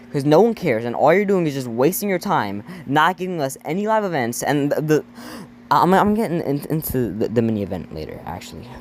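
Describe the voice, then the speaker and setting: Here a man speaks fairly quickly in a fairly high voice. His pitch swings very widely. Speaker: gaming youtuber. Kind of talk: casual commentary video. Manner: stuttering; animated.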